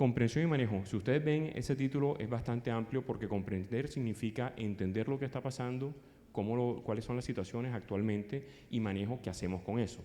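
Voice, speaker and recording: With a dark, mellow tone, a man talks at a fairly quick pace. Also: medium pitch for a man, ordinary pitch variation. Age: 50s. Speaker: psychologist and conference speaker. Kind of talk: conference talk. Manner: fast.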